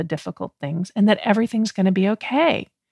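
In a plain, everyday voice, a woman talks at medium pitch with ordinary pitch variation, the sound dry and close with no echo and the recording very clean over a silent background. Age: 50s. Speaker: podcast host and life coach. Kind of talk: solo podcast monologue.

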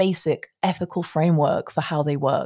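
In a British accent, a woman speaks with a dark, mellow tone on a very clean recording with a silent background. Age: 40s. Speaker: tarot reader. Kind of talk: casual monologue. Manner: animated.

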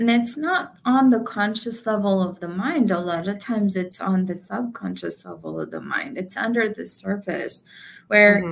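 Ordinary pitch variation runs through this somewhat breathy voice. The pace stays moderate. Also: woman, medium pitch for a woman. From India. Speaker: author and entrepreneur. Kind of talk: interview conversation.

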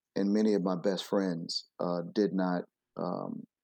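A plain, everyday voice from a man with an American accent, fairly low in pitch, fairly even intonation, very clean recording against a silent background. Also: dry, close sound with no echo. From US Midwest, Flint, Michigan. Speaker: education consultant and former principal. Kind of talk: interview.

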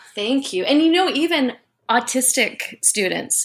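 Someone with a Canadian accent speaks at a fairly slow pace. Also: woman. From Canada. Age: 30s. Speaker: dance instructor and entrepreneur. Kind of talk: interview. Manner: halting, repeats words.

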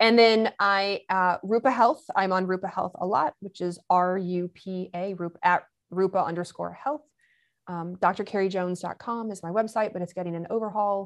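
Against a quiet background, a woman speaks at a moderate pace with big swings in loudness. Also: medium pitch for a woman. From US Midwest and Kentucky (Michigan-born, raised in Lexington). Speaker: hormone doctor. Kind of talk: interview. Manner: animated.

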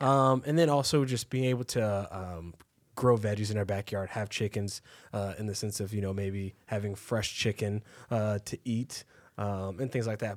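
With an American accent, a man talks in a plain, everyday voice at a fairly low pitch and moderate pace, with ordinary pitch variation, on a very clean recording with a silent background. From Texas, Waco. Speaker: podcast co-host. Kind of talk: podcast interview.

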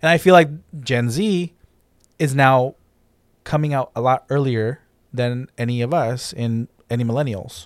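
In a very clean recording with a silent background and a dry, close sound with no echo, a man speaks at a moderate pace and medium pitch, with ordinary pitch variation and long, frequent pauses. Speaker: podcast host. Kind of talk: casual chat.

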